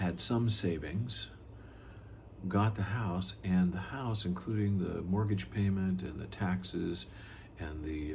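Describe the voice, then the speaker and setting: With audible room echo around him, a man with a very deep, low, somewhat breathy voice talks at a fairly slow pace with ordinary pitch variation. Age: 60s. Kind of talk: personal testimony talk. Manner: conversational with frequent fillers and repeats.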